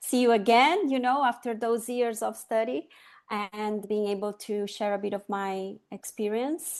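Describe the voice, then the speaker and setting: The speaker has a Latin American accent. The pitch varies in an ordinary way. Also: woman. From Chile, raised in Brazil. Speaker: sustainability consultant. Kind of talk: interview conversation.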